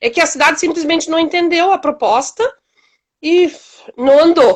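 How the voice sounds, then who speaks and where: Her pitch extremely high, a woman speaks at a moderate pace. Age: 60s. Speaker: community project founder. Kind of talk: interview.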